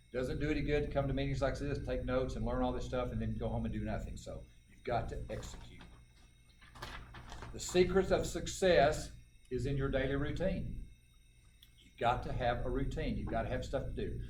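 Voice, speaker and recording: A man talks at a fairly quick pace but leaves long, frequent pauses. Noticeable background noise and audible room echo are present. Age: 60s. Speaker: life insurance agent. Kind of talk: motivational talk at a sales meeting.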